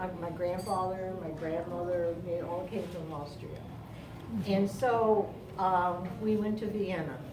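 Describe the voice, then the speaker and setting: A woman's medium-pitched voice at a fairly slow pace, fairly even in intonation, with audible room echo and noticeable background noise. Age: 80s+. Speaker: family elder. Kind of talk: birthday speech. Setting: party with family audience. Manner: halting.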